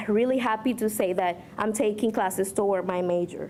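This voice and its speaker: Speaking in a Spanish accent, a woman uses a fairly high pitch. She keeps a moderate pace with fairly even intonation. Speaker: community college student speaker. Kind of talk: speech. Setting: podium at a luncheon with audience. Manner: slightly halting, self-correcting.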